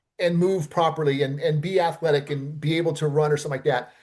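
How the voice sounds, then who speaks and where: In a quiet background, a man with an American accent talks at a very fast pace, somewhat breathy and with fairly even intonation. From Los Angeles, US West Coast. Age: 60s. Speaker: stuntman and film producer. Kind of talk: interview conversation. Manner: casual, many fillers and repetitions.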